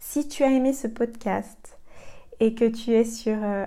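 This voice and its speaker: A woman's dark, mellow tone, very slow and monotone, with flat intonation. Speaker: podcast host and coach for sensitive women. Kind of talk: solo podcast monologue. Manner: hesitant, many fillers.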